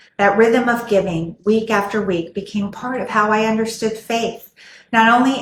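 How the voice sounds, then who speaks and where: A woman speaks with an American accent in a fairly high, somewhat breathy voice. Her intonation stays fairly even at a moderate pace. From Texas, San Angelo. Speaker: church member. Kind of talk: testimony.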